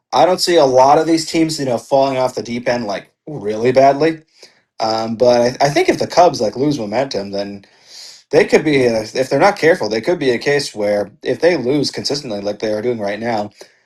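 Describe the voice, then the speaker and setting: A man speaks at a fairly quick pace with lively intonation and a medium pitch. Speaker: podcast co-host. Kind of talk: casual chat. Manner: animated; loud.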